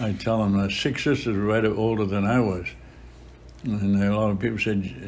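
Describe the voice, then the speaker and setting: Against audible room echo, a man with a fairly low pitch talks at a moderate pace with fairly even intonation. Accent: American. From Boston area, US. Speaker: priest. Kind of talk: interview. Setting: chapel.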